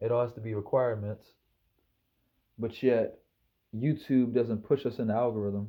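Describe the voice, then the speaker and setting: With a Maryland accent, a man speaks at a moderate pace and medium pitch in a dark, mellow tone, his intonation fairly even and his pauses long and frequent. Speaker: YouTuber. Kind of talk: casual vlog monologue. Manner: casual, rambling with repetitions.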